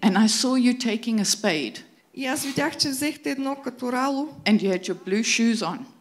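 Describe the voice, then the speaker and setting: In an ordinary speaking voice, a woman talks at a moderate pace, fairly high in pitch, with lively intonation. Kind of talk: prophetic word. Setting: church.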